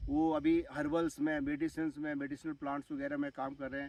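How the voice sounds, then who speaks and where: At a moderate pace, a man with a fairly high pitch speaks in a monotone, flat way, the sound dry and close with no echo. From Uttarakhand hills, India. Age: 60s. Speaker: retired army officer turned farmer. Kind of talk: vlog monologue. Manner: hesitant with fillers.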